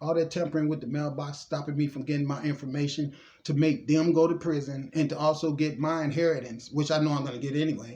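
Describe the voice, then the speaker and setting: A man with a fairly high pitch speaks at a very fast pace in a monotone, flat delivery. His voice is somewhat breathy. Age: 60s. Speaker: spiritual vlogger. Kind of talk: monologue mixing reading aloud and commentary.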